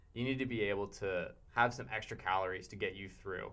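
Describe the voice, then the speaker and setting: A plain, everyday voice with an American accent, at a moderate pace. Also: man. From Pittsburgh, Pennsylvania. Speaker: college student and backpacker. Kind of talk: casual chat. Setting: studio.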